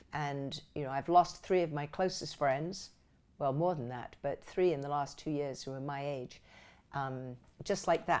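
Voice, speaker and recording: In a very clean recording with a silent background, a woman with a very deep, low pitch speaks at a fairly slow pace with ordinary pitch variation. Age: 60s. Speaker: actress. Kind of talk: interview answer.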